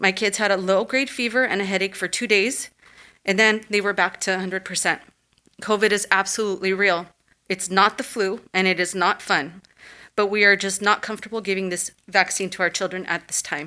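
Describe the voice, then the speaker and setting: Over a silent background in a very clean recording, a woman speaks at a fairly quick pace with a bright, sharp tone, a shaky voice and fairly even intonation. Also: medium pitch for a woman. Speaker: parent giving public comment. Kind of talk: public comment at school board meeting.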